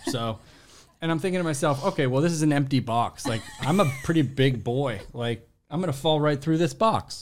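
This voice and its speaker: This is a normal speaking voice from a man with a fairly high pitch. He talks at a moderate pace with ordinary pitch variation. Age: 30s. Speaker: podcast producer and actor. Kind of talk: casual chat.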